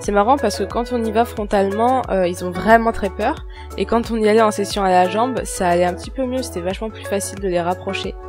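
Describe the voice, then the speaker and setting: This woman speaks at a fairly quick pace. Music can be heard behind her. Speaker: horse rider. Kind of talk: voice-over narration. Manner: soft, calm.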